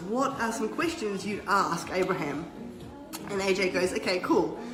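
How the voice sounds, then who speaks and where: Over music in the background and audible room echo, a woman speaks at a medium pitch with an Australian accent. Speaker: businesswoman. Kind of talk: casual chat. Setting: livestream at a friend's home. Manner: animated.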